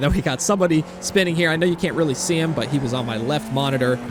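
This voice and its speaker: Noticeable background noise runs through the clip. A man talks at a fairly quick pace. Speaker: sim racing YouTuber. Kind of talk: post-race commentary. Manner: relaxed, chill.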